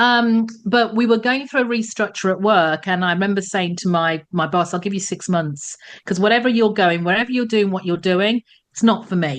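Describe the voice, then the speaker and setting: A woman speaks at a medium pitch with an English accent and ordinary pitch variation. The background is quiet. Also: moderate pace. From England. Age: 60s. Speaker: former telecoms executive, career coach. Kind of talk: podcast interview.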